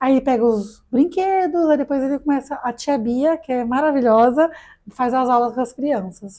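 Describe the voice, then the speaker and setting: At a moderate pace, a woman speaks at a high pitch with a dark, mellow tone and ordinary pitch variation. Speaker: digital influencer. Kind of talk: casual podcast interview.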